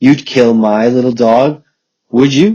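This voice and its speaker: Putting on a character voice, a man speaks fairly slowly. His pitch sits in the medium range. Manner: furious, indignant.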